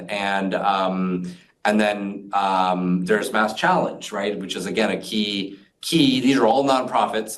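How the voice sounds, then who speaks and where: Energetic voice at a moderate pace, with audible room echo. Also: man. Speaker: fintech community leader. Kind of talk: interview conversation. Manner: many fillers.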